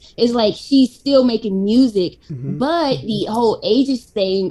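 Speaking with an American accent, a woman has a dark, mellow tone. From US South, Atlanta, Georgia. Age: 60s. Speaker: YouTube reaction creator. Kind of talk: casual interview.

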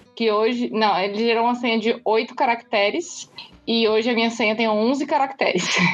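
Music plays in the background as a woman talks at a fairly high pitch and a moderate pace. Her loudness is very even and her intonation fairly even. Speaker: lawyer and feminist podcaster. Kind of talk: interview.

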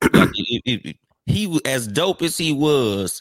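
A man's voice sounds dry and close with no echo. The recording is very clean with a silent background. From Compton, Los Angeles, US West Coast. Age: 40s. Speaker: podcaster. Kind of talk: casual chat. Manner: animated.

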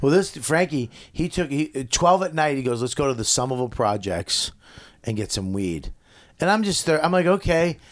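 In a very clean recording with a silent background, a man's fairly high voice makes very wide pitch swings. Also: moderate pace. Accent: American. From Boston area, Medford. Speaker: comedian. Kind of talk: casual chat.

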